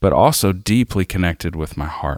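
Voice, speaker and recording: Speaking with a Southern US accent, a man's very deep, low pitch comes through with a dry, close sound and no echo. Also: very clean recording, silent background. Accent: Southern American. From US South, South Arkansas. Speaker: worship leader. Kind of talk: devotional reading.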